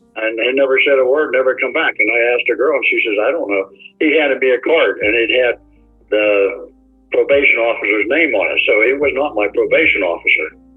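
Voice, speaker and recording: Music plays in the background as a man talks fairly quickly. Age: 80s+. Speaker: defendant on probation. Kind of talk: court testimony. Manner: rambling, halting.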